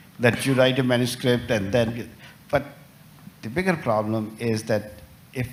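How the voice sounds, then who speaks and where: In a room with audible echo and noticeable background noise, a man talks at a moderate pace with a medium pitch and ordinary pitch variation. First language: not English. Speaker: journal editor, professor. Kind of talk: panel discussion. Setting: conference stage with audience. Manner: halting, many fillers.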